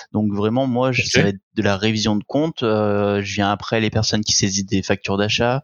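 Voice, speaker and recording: A man with a normal speaking voice talks at a fairly low pitch and a moderate pace. His intonation is fairly even and his loudness very even. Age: 20s. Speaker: accountant. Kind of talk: casual interview.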